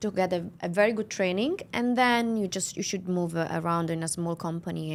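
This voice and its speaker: In a very clean recording with a silent background, a woman speaks at a moderate pace in an Italian accent. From Italy, near Milan. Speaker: real estate agency owner. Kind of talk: interview. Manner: halting.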